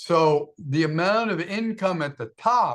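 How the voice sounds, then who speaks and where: A man with a high-pitched voice and an American accent speaks with lively intonation. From US. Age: 70s. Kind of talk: casual chat.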